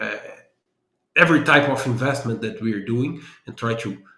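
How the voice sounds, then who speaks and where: A man's medium-pitched voice with a Brazilian accent. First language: Portuguese. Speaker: business analysis consultant and trainer. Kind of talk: interview.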